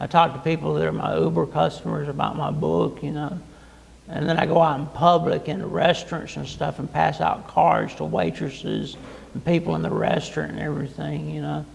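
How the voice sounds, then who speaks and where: A man speaks with an American accent at a fairly quick pace. Noticeable background noise sits behind him. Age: 50s. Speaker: author. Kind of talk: interview. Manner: halting, repeats words.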